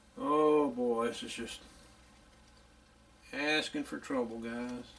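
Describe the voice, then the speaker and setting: Speaking very slowly in a Louisiana accent, a man uses a fairly high pitch and fairly even intonation. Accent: country Louisiana. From US South, northeast Louisiana. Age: 60s. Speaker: radio repair hobbyist. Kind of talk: tutorial; casual chat. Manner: casual.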